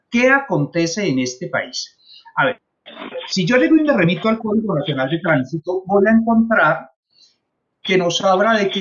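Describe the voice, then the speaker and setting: Long, frequent pauses break up a man's moderately paced speech. His high voice swings very widely in pitch. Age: 60s. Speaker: traffic safety trainer, former traffic officer. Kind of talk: consultation meeting.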